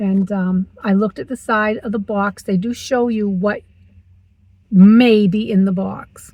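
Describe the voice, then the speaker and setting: A woman at a medium pitch and fairly slow pace, somewhat breathy, with fairly even intonation. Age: 60s. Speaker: vlogger. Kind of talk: casual vlog talk to camera. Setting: in a car.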